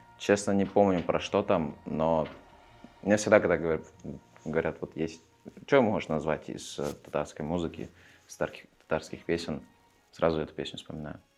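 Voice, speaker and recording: The speech moves at a moderate pace with ordinary pitch variation. Long pauses come often, and the loudness swings widely. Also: man, very deep, low pitch for a man. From Russia, Perm region (Chaykovsky). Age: 20s. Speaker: theatre directing student. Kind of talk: interview. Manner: halting, many fillers.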